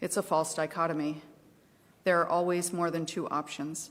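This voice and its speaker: A woman with an American accent speaks at a fairly low pitch in a flat monotone. The recording is very clean, with a silent background. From US Midwest, southeastern Ohio. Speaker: advocacy group volunteer. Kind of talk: testimony. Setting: legislative committee hearing.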